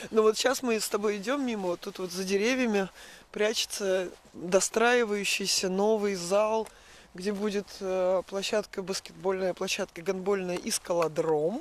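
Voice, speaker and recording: A woman speaks at a fairly slow pace in a medium pitch. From Russia, Urals (Kamensk-Uralsky). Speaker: emigrant. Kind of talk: casual chat. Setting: outdoors.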